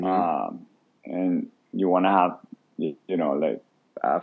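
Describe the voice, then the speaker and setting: A man with a non-native accent speaks at a very deep, low pitch. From Venezuela. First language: Spanish. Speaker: food stand co-owner. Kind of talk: podcast interview answer.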